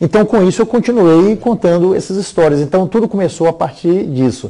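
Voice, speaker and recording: At a fairly quick pace, the speaker uses lively intonation in a dark, mellow tone with very even loudness. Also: man, high pitch for a man. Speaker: bishop and storyteller. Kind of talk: interview. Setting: TV studio at home. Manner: fast.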